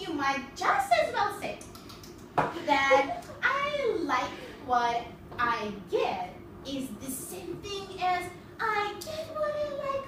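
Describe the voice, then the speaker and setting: Over clear background noise and a slight echo, a put-on character voice with an extremely high pitch moves at a very slow pace, broken by long, frequent pauses. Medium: stage play. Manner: contrary, snippy.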